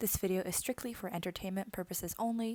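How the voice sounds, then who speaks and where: Speaking at a moderate pace, a woman talks in an American accent. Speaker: beauty vlogger. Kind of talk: voiceover narration. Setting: alone, recorded voiceover.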